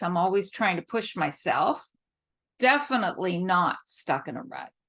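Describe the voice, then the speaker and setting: A woman with a medium pitch and lively intonation, at a fairly slow pace against a quiet background. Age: 60s. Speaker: author. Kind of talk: interview answers. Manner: animated; reading prepared answers.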